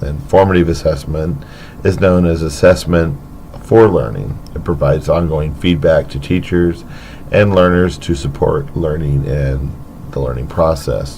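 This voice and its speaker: A man speaks with a very deep, low voice. Audible room echo and noticeable background noise are present. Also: ordinary pitch variation, fairly slow pace. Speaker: teacher. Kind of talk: educational podcast.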